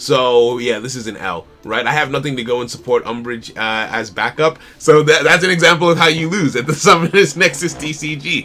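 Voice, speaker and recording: An animated man's voice over noticeable background noise. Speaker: indie card game developer streamer. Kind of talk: live stream commentary.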